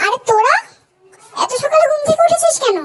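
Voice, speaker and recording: A woman's squeaky, put-on character voice, extremely high in pitch, with very wide pitch swings and a fairly quick pace. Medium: read story. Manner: bossy, scolding.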